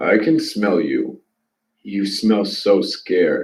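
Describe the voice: A man puts on a husky character voice. He speaks very slowly.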